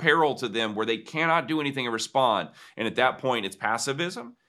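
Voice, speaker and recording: A man with an American accent speaks in a bright, sharp tone at a moderate pace, on a very clean recording with a silent background. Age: 40s. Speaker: pastor and author. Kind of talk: interview.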